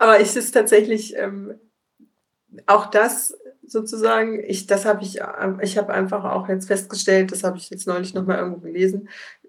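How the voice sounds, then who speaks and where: Pausing long and often, a woman talks at a moderate pace and a medium pitch, with big swings in loudness. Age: 40s. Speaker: entrepreneur, print shop owner. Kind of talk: podcast interview. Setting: remote video call.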